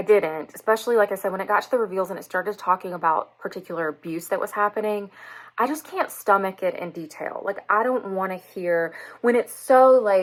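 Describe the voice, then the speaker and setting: Animated in tone, a woman with a Southern US accent speaks at a fairly quick pace with ordinary pitch variation. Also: medium pitch for a woman. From US South. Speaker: book reviewer and English teacher. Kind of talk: casual book review vlog.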